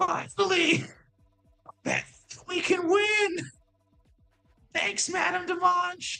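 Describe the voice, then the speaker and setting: In a put-on character voice of extremely high pitch, the speaker goes at a very slow pace with long, frequent pauses while faint music plays in the background. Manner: triumphant, relieved.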